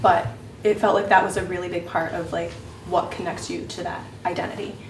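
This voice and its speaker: Speaking fairly quickly, a woman's voice comes through with noticeable background noise and audible room echo. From US, raised by adoptive family (born in Peru, left at 3). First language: Spanish (lost in early childhood). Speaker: panel speaker sharing personal experience. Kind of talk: testimony.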